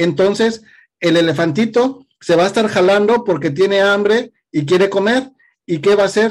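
The loudness stays very even. Pitch variation is ordinary. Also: man, high pitch for a man, moderate pace. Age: 40s. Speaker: podcast host. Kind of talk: interview.

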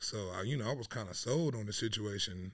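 A man with an American accent and a plain, everyday voice, fairly low in pitch, at a moderate pace on a very clean recording with a silent background. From Dayton, Ohio (born San Diego, left at 13). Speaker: painter. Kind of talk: casual interview chat. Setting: studio.

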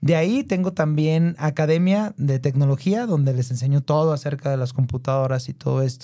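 Fairly high-pitched male voice, dark and mellow in tone, somewhat breathy, at a fairly quick pace with hardly any pauses and ordinary pitch variation. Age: 30s. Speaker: entrepreneur and tech content creator. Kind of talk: interview.

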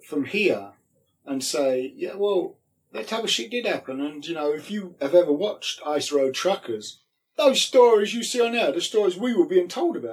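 Speaking with a London accent, a man keeps a moderate pace while his pitch swings very widely. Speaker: former pro wrestler. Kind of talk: casual interview chat.

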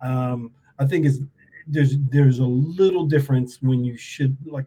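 At a fairly slow pace, a man with an American accent speaks in a somewhat breathy, dark, mellow tone at medium pitch, with fairly even intonation. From New York. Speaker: podcast host. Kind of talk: casual interview. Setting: video call.

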